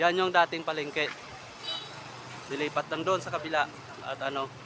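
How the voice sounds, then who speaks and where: Fairly quick and fairly high-pitched, a man talks in a monotone, flat way over noticeable background noise. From Philippines, Zambales. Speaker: travel vlogger. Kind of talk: casual vlog narration. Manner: casual, conversational.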